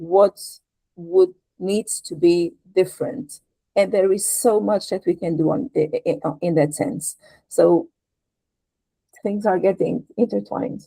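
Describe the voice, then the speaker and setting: In a dry, close sound with no echo, a woman with a Portuguese accent speaks at a fairly slow pace, with a medium pitch, a dark, mellow tone, and ordinary pitch variation. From Portugal. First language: European Portuguese. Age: 50s. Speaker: patient advocate and translator. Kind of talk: interview conversation. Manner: halting.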